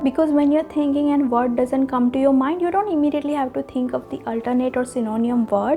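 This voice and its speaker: With a non-native accent, a woman speaks at a high pitch with ordinary pitch variation while music plays in the background. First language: not English. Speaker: public speaking coach / vlogger. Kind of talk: tutorial.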